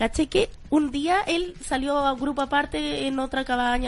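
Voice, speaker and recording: With a Chilean accent, a woman talks in a high voice for a woman. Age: 20s. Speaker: radio show co-host. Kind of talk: casual chat. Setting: radio studio. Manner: animated.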